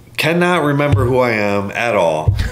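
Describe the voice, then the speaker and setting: Music plays in the background as a man with an American accent speaks with very wide pitch swings. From US Midwest. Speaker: custom motorcycle builder. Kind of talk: casual chat.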